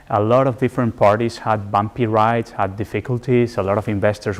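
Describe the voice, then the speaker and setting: Speaking at a fairly quick pace, a man with a Spanish accent talks in a medium pitch. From Spain. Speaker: development finance specialist, guest lecturer. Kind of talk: lecture.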